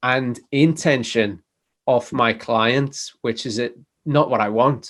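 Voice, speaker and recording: Against a quiet background, a man with a medium pitch speaks in a Liverpool accent. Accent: Liverpool (Scouse). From northern England, Liverpool. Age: 40s. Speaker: chiropractor and DJ. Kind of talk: interview.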